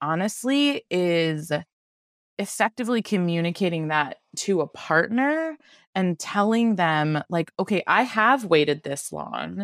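Swinging very widely in pitch, a woman speaks at a fairly slow pace. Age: 30s. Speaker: veterinary specialist. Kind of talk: casual chat. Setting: remote call.

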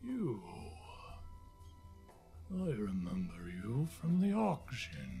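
Over clear music in the background, a man does a growling, put-on character voice at medium pitch. He speaks at a very slow pace with long, frequent pauses. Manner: eerie, rolling, calm.

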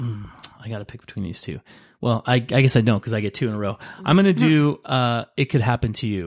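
A man talks at a very fast pace with lively intonation and big swings in loudness. The sound is dry and close, with no echo. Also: medium pitch for a man. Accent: American. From Los Angeles. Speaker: guest co-player in movie draft. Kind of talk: casual chat, game-style banter.

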